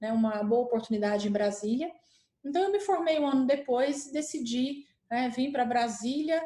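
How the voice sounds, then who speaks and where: The speaker talks at a moderate pace with a Minas Gerais accent. The intonation is lively while loudness stays very even. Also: woman, high pitch for a woman. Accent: Minas Gerais accent, still noticeable. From Minas Gerais, Brazil. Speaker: healthcare company executive. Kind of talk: panel talk presentation.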